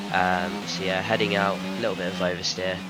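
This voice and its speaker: With audible room echo and noticeable background noise around him, a man talks at a moderate pace. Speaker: sim racing gamer. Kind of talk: gameplay commentary voice-over. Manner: casual, filler-heavy.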